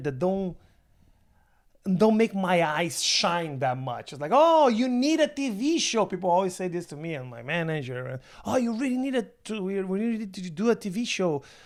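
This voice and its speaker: A man speaks in a Brazilian Portuguese accent at a moderate pace. His high voice makes very wide pitch swings. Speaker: stand-up comedian. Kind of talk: casual chat. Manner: halting.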